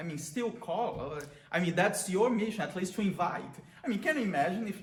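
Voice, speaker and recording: A man with a Brazilian accent at a fairly quick pace, ordinary pitch variation, audible room echo and noticeable background noise. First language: Portuguese. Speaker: priest. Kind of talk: prayer reflection talk. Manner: halting.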